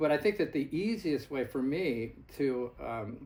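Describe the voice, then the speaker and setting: The pace is fairly slow as a man talks. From US Northeast, Gloucester, Massachusetts. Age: 60s. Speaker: horseman and fox hunter. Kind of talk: storytelling in a casual chat. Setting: fireside chat with small audience. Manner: halting.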